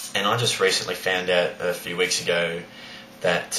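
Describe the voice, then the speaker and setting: With an Australian accent, a man speaks in a very deep, low pitch, with audible room echo and noticeable background noise. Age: 20s. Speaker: high school teacher. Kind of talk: personal vlog monologue. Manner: hesitant, many fillers.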